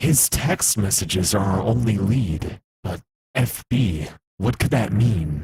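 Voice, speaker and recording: Using a put-on character voice, a man speaks at a fairly slow pace with a fairly low pitch and lively intonation. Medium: machinima. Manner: gruff, intense.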